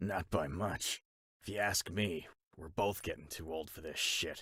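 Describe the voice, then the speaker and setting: A man puts on a raspy character voice with a very deep, low pitch. He keeps a moderate pace and fairly even intonation. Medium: audio drama. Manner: blunt, dry.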